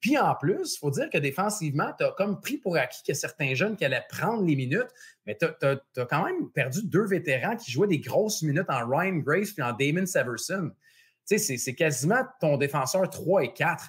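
Using lively intonation, a man with a high pitch talks at a moderate pace. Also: quiet background. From Quebec. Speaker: sports betting podcast host. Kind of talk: casual chat. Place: home room. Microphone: earbuds.

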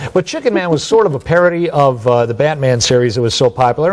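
With an American accent, a man with a fairly high pitch races along at a very fast pace using lively intonation. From Cleveland area, Ohio; Ohio. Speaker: author; interview guest, radio historian. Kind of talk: interview. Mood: warm, nostalgic, enthusiastic. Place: studio. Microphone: lapel.

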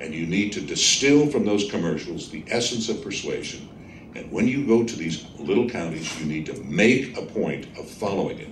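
A man with an American accent speaks at a moderate pace, his pitch swinging very widely and his loudness varying a lot. Audible room echo and light background noise are present. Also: fairly low pitch for a man. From Texas. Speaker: trial lawyer. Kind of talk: lecture. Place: hall. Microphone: podium.

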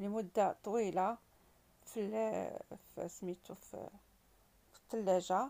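A woman speaks with a dark, mellow tone. Her pace is very slow. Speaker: home cooking vlogger. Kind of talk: tutorial. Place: kitchen. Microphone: phone near.

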